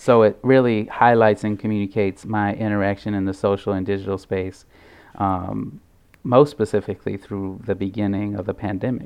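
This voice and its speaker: A man's fairly low voice with an American accent and fairly even intonation. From St. Louis, Missouri. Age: 20s. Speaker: artist. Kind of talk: radio interview.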